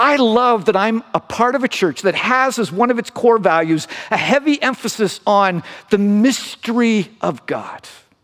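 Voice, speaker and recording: A high-pitched man at a moderate pace, with ordinary pitch variation. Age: 50s. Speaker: pastor. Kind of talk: sermon.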